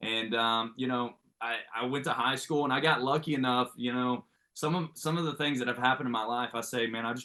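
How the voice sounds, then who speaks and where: Speaking at a very fast pace, a man uses a medium pitch and an American accent. His intonation is fairly even. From Oklahoma, rural Ada area. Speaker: baseball coach. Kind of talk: podcast interview.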